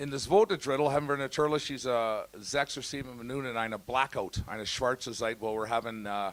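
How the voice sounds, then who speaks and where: A man speaks at a fairly quick pace with a medium pitch and ordinary pitch variation. He hardly pauses, and the recording is very clean with a silent background. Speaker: ice hockey coach. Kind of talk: press conference. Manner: halting.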